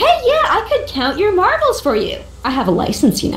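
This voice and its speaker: Over clear background noise, a woman puts on a squeaky character voice with extremely high pitch and very wide pitch swings, talking at a fairly quick pace. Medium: video game. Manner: chirpy, matter-of-fact.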